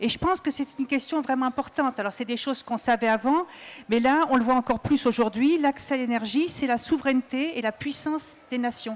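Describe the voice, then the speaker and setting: A woman with a high pitch talks at a fairly quick pace. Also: ordinary pitch variation. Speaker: engineer and trade unionist. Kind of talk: panel debate. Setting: stage with audience at a festival. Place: stage. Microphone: handheld.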